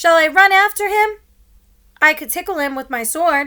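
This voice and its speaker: Using a squeaky, put-on character voice, a woman speaks at an extremely high pitch and a moderate pace. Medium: read story.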